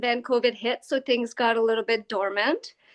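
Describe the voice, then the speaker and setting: In a French Canadian accent, a woman speaks at a fairly slow pace with a high pitch and fairly even intonation. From Quebec, downtown Montreal. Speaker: equine-assisted learning facilitator. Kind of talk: interview. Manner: hesitant, many fillers.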